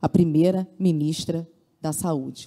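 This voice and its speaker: A woman with a dark, mellow tone talks at a fairly slow pace with ordinary pitch variation over a quiet background. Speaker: public health worker union representative. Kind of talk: conference speech. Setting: conference hall with simultaneous translation. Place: hall. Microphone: handheld.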